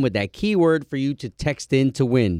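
Recorded dry and close with no echo against a quiet background, a man speaks at a moderate pace. His tone is animated, with very wide pitch swings. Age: 30s. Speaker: morning radio host. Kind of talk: casual chat. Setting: studio.

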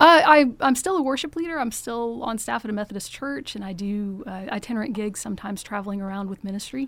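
With an American accent, a woman talks at a very fast pace, her fairly high voice full of lively intonation. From US South (Georgia, Macon). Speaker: political candidate. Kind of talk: interview. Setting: studio.

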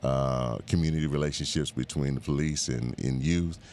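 Through noticeable background noise, a man with a very deep, low pitch speaks at a moderate pace with fairly even intonation. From Bahamas and Miami. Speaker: civil rights organization president. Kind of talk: radio interview. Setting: radio studio.

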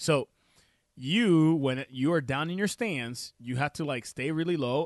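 A man with a Puerto Rican accent, ordinary pitch variation, and a quiet background. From Puerto Rico. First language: Spanish. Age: 30s. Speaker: chiropractor and radio host. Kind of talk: health talk radio show. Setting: radio studio. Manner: casual, filler-heavy.

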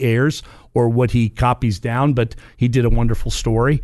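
Speaking at a medium pitch with fairly even intonation, the man uses a normal speaking voice. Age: 50s. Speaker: podcast host, gun range operator. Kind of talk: casual discussion.

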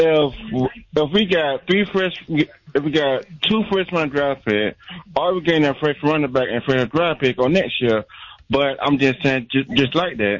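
With an unremarkable speaking voice, a man talks at a fairly high pitch, his intonation lively and his loudness very even. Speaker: caller. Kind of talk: casual sports talk call-in. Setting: phone call.

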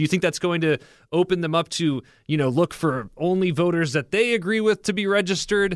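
A man speaks at a fairly quick pace in a high pitch, with ordinary pitch variation. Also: very clean recording, silent background. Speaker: radio producer. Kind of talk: casual chat. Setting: studio.

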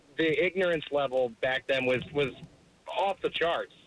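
Background noise is noticeable here. A man talks at a moderate pace with ordinary pitch variation. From Virginia. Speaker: caller. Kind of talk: phone call debate. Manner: halting.

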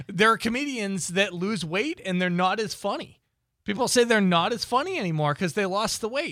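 A man with an American accent speaks at a fairly quick pace, high in pitch, with a bright, sharp tone, lively intonation and a raised, projected voice. The recording is very clean, with a silent background. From Boston. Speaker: radio co-host. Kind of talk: casual chat. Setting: studio.

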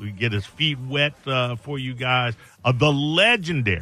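A plain, everyday voice from a man, fairly high in pitch and fairly slow in pace. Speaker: radio host. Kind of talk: call-in radio show. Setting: studio.

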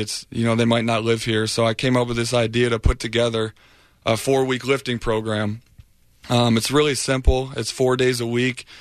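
In an American accent, a man of medium pitch speaks fairly quickly in a flat monotone, with a quiet background. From Michigan. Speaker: professional football player. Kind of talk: casual chat.

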